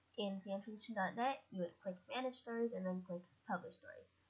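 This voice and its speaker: A woman's quiet, somewhat breathy voice at medium pitch, with fairly even intonation and a moderate pace. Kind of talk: tutorial talk over slides.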